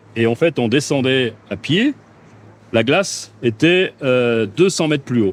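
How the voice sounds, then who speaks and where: At a fairly slow pace, a man talks at medium pitch with lively intonation. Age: 60s. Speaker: company president. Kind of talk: casual chat.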